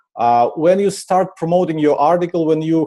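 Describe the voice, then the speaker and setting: A man with a Ukrainian accent speaks in a dark, mellow tone at a moderate pace. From Ukraine. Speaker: marketing conference speaker. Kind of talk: conference presentation. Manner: frequent filler uh.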